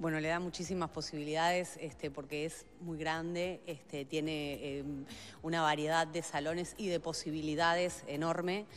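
A woman speaks at a fairly slow pace with few pauses. Her low voice shows little pitch movement.

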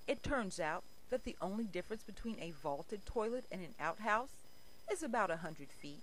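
Plain reading aloud, lively in its intonation

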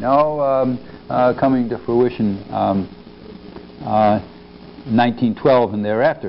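Against light background noise, a man speaks at a very slow pace with long, frequent pauses. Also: ordinary pitch variation. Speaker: history professor. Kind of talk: lecture. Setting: stage with audience. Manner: halting. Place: hall. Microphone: lapel.

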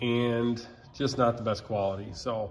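Ordinary pitch variation shapes this man's speech. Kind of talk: tutorial. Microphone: phone near.

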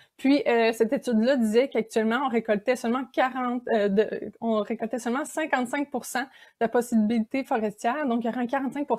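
A high-pitched woman with a Quebec accent, moderate pace and fairly even intonation, against a quiet background. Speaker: graduate student researcher; presenter. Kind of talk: conference talk. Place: home room. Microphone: webcam.

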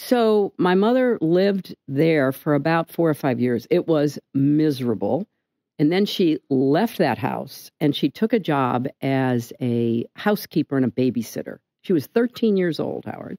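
A woman's dark, mellow tone at a fairly slow pace, with very wide pitch swings over a quiet background. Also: dry sound with no echo. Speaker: interview guest. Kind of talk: interview answer. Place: studio. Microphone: studio mic.

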